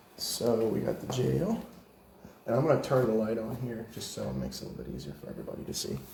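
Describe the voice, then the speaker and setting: A man with an American accent at a very fast pace, big swings in loudness, audible room echo and noticeable background noise. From northern US. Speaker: paranormal investigator. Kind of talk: walking tour narration. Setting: indoors, old jail at night.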